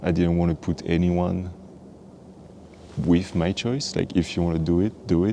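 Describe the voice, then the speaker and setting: With a French accent, a man speaks in a very deep, low pitch, his tone dark and mellow and his intonation fairly even. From French Guiana and France. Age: 20s. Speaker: vlogger. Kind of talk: personal storytelling. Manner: halting.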